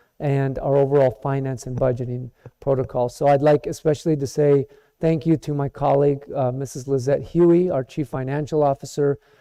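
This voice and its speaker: Dry and close with no echo, a man's fairly high-pitched voice comes at a fairly quick pace, dark and mellow in tone, with monotone, flat intonation. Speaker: school district administrator. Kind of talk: formal speech at board meeting. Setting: board meeting.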